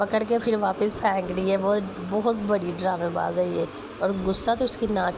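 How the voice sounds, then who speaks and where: A woman speaks at a fairly slow pace with medium pitch and fairly even intonation. Noticeable background noise runs behind her voice. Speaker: family vlogger. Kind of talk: vlog narration. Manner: casual.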